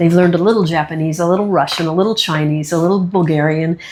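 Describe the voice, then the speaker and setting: Fairly quick and fairly low-pitched, a woman speaks with fairly even intonation. Noticeable background noise is present. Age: 60s. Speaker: magician and human rights activist. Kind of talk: interview.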